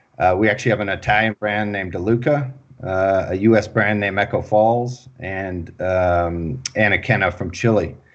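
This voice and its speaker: A man with an American accent talks at a moderate pace with hardly any pauses and ordinary pitch variation. The background is quiet. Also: fairly low pitch for a man. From Texas. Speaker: wine company CEO. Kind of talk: interview.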